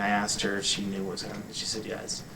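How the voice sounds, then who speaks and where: Audible room echo plus noticeable background noise. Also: man. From New England. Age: 40s. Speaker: interviewee with heart disease. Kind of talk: personal testimony interview. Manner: halting.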